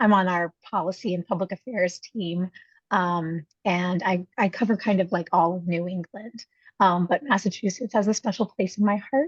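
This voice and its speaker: A somewhat breathy woman at a moderate pace, with ordinary pitch variation and a dry, close sound with no echo. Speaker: rideshare company policy staffer. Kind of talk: business presentation.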